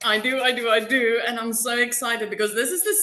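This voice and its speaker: Clear background noise is audible. Over it, a woman talks at a moderate speed. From South Africa. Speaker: customer giving testimonial. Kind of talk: testimony.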